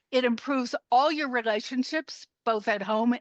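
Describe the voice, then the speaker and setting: A woman with an American accent speaks at a moderate pace with a high pitch and ordinary pitch variation. The sound is dry and close with no echo, over a quiet background. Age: 70s. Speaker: health coach. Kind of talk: interview. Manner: animated.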